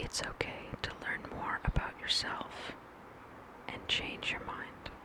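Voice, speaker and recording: Someone whispers at a very slow pace over noticeable background noise. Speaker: ASMR creator. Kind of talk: ASMR intro talk to camera. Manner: whispered.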